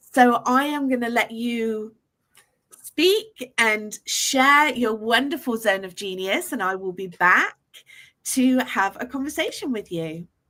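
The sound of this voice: A woman with a bright, sharp, fairly high voice speaks slowly with lively intonation.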